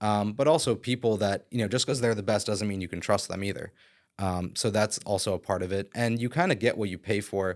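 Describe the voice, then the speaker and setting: A man with an American accent, fairly low in pitch, at a fairly quick pace with ordinary pitch variation, a plain, everyday voice, on a very clean recording with a silent background. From Philadelphia area, Pennsylvania. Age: 30s. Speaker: real estate broker and developer. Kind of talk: podcast interview. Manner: casual, many fillers.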